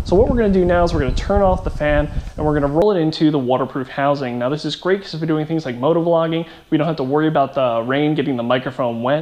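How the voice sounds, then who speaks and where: Over noticeable background noise and audible room echo, a man with a fairly high pitch talks at a very fast pace. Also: ordinary pitch variation. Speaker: tech product reviewer. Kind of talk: product review tutorial. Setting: outdoors on a parking garage roof.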